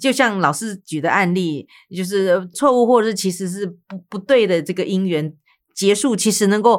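In a very clean recording with a silent background, a woman speaks in a plain, everyday voice at a medium pitch, with ordinary pitch variation and a moderate pace. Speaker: radio host. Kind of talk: casual interview.

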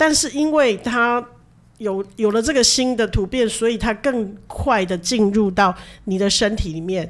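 This is a normal speaking voice at a moderate pace. Its intonation is lively. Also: woman. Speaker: nurse and podcast co-host. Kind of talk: casual chat.

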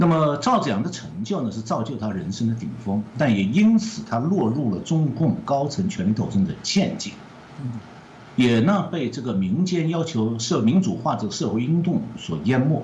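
A man's voice swings very widely in pitch, with audible room echo. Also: medium pitch for a man, moderate pace. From mainland China. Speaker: economist. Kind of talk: interview.

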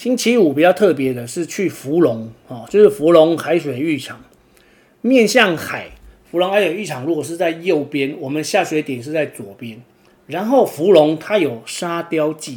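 A man's fairly high voice in a Taiwanese accent, with lively intonation, big swings in loudness and a moderate pace. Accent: Taiwanese Mandarin. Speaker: podcast host and kitesurfer. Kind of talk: casual monologue. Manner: filler-heavy, frequent 'o' particles.

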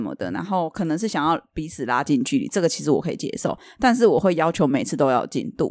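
On a very clean recording with a silent background, a woman with a fairly low pitch talks at a very fast pace, her pitch swinging very widely. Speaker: podcast co-host selling Thai amulets. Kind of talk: casual chat.

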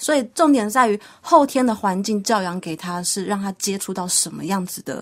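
A woman with an unremarkable speaking voice talks at a moderate pace and medium pitch. Her intonation is lively. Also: big swings in loudness. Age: young. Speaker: pet trainer. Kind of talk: radio interview.

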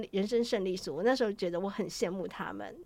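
On a very clean recording with a silent background, a woman with an ordinary speaking voice talks at a medium pitch with ordinary pitch variation. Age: 40s. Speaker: travel writer. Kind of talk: interview.

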